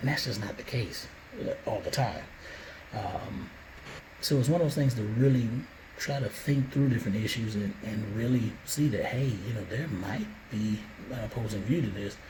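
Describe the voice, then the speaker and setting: A man with an American accent speaks at a moderate pace and medium pitch, using ordinary pitch variation and long, frequent pauses. Noticeable background noise and audible room echo are present. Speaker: father vlogger. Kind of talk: monologue to camera, reflective talk. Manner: hesitant, many fillers and restarts.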